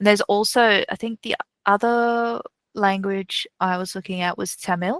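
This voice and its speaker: At a moderate pace, a woman with a medium pitch speaks with fairly even intonation in a dry, close recording with no echo. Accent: Australian. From Newcastle, Australia. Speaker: delivery manager and podcaster. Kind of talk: interview chat.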